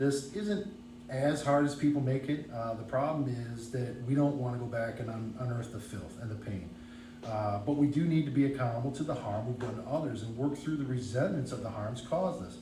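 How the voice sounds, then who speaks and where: A man mumbles at a fairly quick pace, with a medium pitch and ordinary pitch variation. Audible room echo and noticeable background noise are present. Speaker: recovering alcoholic speaker. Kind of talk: testimony. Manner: mumbling.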